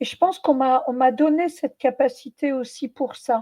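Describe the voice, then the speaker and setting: The woman's voice is high-pitched, and she talks at a moderate pace. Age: 70s. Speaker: medium and former Zen nun. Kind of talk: interview. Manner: hesitant, many fillers.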